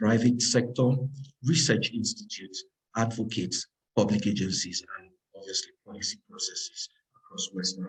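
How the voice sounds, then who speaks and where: A man talks at a medium pitch, somewhat breathy, with ordinary pitch variation and big swings in loudness. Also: moderate pace. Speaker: lead researcher presenting a report. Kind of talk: webinar presentation. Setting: online webinar with interpreter.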